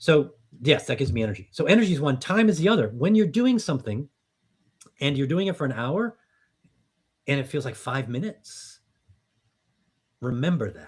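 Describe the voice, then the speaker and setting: Breaking into long, frequent pauses, the somewhat breathy speech moves at a fairly quick pace with very wide pitch swings. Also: man, fairly high pitch for a man. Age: 60s. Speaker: business coach and startup founder. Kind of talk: podcast interview. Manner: conversational, with frequent fillers and repetitions.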